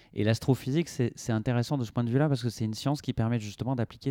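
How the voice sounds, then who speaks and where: With a dark, mellow tone and medium pitch, a man speaks at a very fast pace with ordinary pitch variation. The sound is dry and close, with no echo. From Brittany, France. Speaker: astrophysicist. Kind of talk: radio interview. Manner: halting, many fillers and repetitions.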